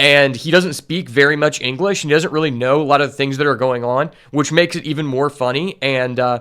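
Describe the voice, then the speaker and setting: It's a man with a normal speaking voice, fairly high in pitch. His intonation stays fairly even. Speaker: streamer reacting to a show. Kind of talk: reaction commentary.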